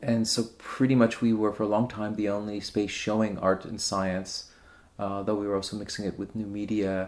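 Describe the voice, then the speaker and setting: Fairly low-pitched man with a New York accent. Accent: New York American English. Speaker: art curator. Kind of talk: radio interview.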